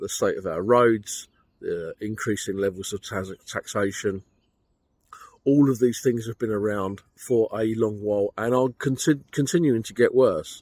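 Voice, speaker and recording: A man with a British accent, dry, close sound and no echo. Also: medium pitch for a man, ordinary pitch variation, fairly slow pace. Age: 60s. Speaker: personal finance vlogger. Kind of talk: monologue commentary. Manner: casual, conversational.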